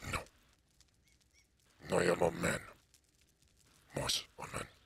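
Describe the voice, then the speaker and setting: Putting on a character voice, a man speaks fairly slowly at a very deep, low pitch. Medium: game stream. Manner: terse, short sentences.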